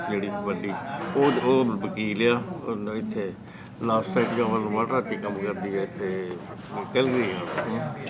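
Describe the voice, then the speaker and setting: A man with a fairly low pitch is heard over noticeable background noise, with audible echo in the room. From Punjab, India (Hoshiarpur district). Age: 70s. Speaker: immigrant farmer. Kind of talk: oral history interview. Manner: soft-spoken; halting. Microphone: too quiet, camera moved closer.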